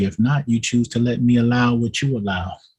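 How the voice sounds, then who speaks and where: A man speaks with an unremarkable speaking voice. His pitch variation is ordinary, and his pace is moderate. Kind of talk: spoken-word poetry, preaching delivery. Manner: preaching cadence, rhythmic poetic delivery.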